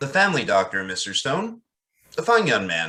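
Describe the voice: A man's put-on character voice at a fairly low pitch, with very wide pitch swings, a bright, sharp tone, a moderate pace and audible room echo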